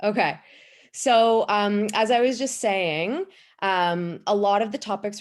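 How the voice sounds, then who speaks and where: The speaker is a woman with ordinary pitch variation. She keeps a moderate pace. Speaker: pelvic health physiotherapist. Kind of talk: webinar presentation. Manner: loud.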